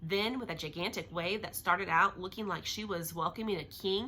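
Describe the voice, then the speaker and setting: Loud and at a fairly quick pace, a woman speaks at a medium pitch with ordinary pitch variation. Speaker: teacher reading a novel to children. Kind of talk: reading aloud. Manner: fast.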